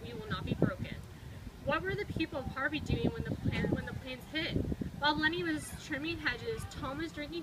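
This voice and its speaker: A woman talks at a fairly quick pace. Loud background noise fills the recording. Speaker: storybook reader. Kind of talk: reading a children's picture book aloud. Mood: calm, earnest storytelling. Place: street. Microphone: camera far.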